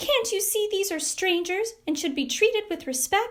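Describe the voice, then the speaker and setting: A woman puts on a squeaky character voice at an extremely high pitch. She moves at a moderate pace with lively intonation. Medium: read story.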